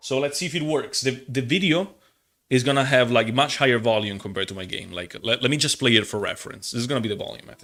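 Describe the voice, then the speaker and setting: Talking at a very fast pace, a man with an Italian accent has a bright, sharp tone and big swings in loudness. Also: medium pitch for a man, lively intonation. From Italy. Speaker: gaming streamer. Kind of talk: casual live stream chat. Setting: live stream. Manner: halting.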